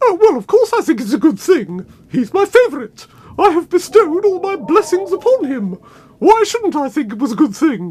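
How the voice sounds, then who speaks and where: This cartoonish character voice sits at a high pitch, swinging very widely in pitch at a moderate pace. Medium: puppet. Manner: indignant.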